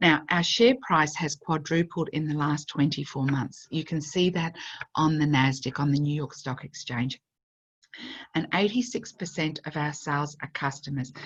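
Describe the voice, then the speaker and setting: In a quiet setting, a woman with a very deep, low pitch and a somewhat breathy voice talks at a moderate pace with ordinary pitch variation. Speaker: network marketing presenter. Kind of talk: sales pitch.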